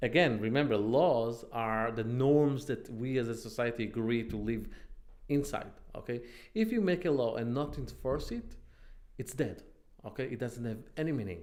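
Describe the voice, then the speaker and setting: In a room with audible echo, a man with an Israeli accent talks at a moderate pace and medium pitch, with ordinary pitch variation. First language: Hebrew. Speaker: online commentator. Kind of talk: casual monologue. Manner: halting.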